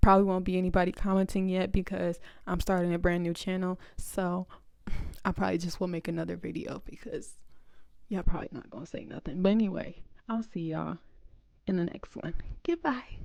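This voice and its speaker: A woman at medium pitch talks at a fairly quick pace in an animated tone, with ordinary pitch variation, big swings in loudness and long, frequent pauses. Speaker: content creator vlogger. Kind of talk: casual vlog talk to camera.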